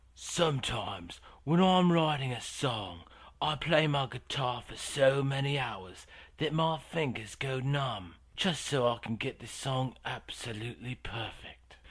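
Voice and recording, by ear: In a put-on character voice, a man speaks at a medium pitch and a fairly slow pace with lively intonation, recorded very cleanly against a silent background.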